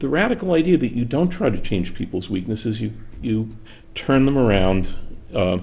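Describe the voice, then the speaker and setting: Very wide pitch swings and vocal fry in a man's voice. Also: medium pitch for a man, moderate pace. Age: 60s. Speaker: author and workplace speaker. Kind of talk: interview conversation. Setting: studio.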